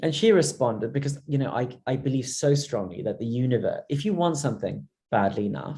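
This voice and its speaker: A man's fairly high, dark, mellow voice with vocal fry, at a fairly quick pace. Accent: London. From Zimbabwe. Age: 30s. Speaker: entrepreneur. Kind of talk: interview. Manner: halting, many fillers and repeats.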